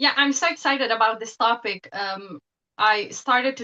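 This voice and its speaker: A woman with a Bosnian accent speaks at a moderate pace in a bright, sharp tone with ordinary pitch variation and a dry, close sound with no echo. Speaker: professor and psychotherapist. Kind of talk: interview.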